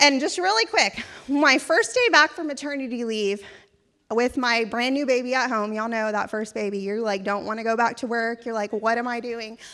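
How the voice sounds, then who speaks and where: A woman speaks loudly and at a moderate pace in an animated, bright, sharp tone. Her fairly high pitch shows ordinary variation on a very clean recording with a silent background. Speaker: event committee chair. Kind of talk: event speech. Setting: stage with audience.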